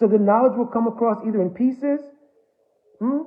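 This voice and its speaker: A man's high-pitched voice with an American accent and ordinary pitch variation. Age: 70s. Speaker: spiritual teacher. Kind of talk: religious discourse.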